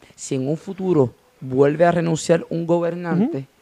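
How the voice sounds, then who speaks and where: In a Puerto Rican accent, a man speaks at a fairly slow pace. His voice is fairly high, with a dark, mellow tone. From Puerto Rico, Gurabo. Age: young. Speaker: journalism student. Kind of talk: political discussion.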